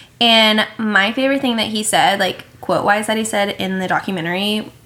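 At a moderate pace, a woman talks with a medium pitch and fairly even intonation while noticeable background noise carries on. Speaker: podcast co-host. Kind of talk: casual chat. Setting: sitting on a bed with roommate present.

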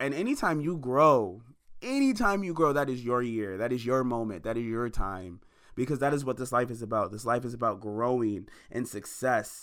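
At a moderate pace, a man speaks in an animated tone, using a medium pitch and ordinary pitch variation. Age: 20s. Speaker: podcast host and musician. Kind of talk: motivational monologue.

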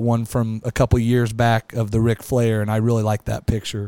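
Recorded dry and close with no echo in a very clean recording with a silent background, a man with a Midwestern American accent and a dark, mellow tone talks at a fairly quick pace in a monotone, flat intonation. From Kansas (small town near Wichita area). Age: 40s. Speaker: podcast host. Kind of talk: casual chat.

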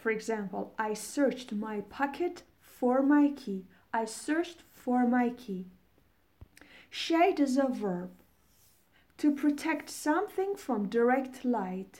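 A woman speaks very slowly in a Persian accent, her tone dark and mellow. Her pitch sits high and her intonation is lively. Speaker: English teacher podcaster. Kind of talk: vocabulary tutorial. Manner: slow, instructive.

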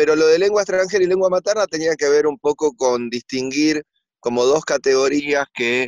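A man speaks at moderate speed. Close and dry, the sound has no echo. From Argentina. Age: 40s. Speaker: writer. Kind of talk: interview about his book. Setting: remote connection. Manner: hesitant, repeats words.

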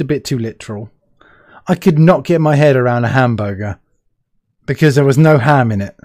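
A fairly high-pitched man with a British accent, lively intonation, a fairly quick pace, and a very clean recording with a silent background. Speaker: podcast host. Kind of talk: casual interview chat. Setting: live video stream.

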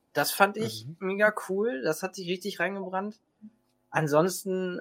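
A man speaks in an ordinary speaking voice at a moderate pace, with ordinary pitch variation. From Hannover region, northern Germany. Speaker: Star Wars cosplayer. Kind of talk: casual chat.

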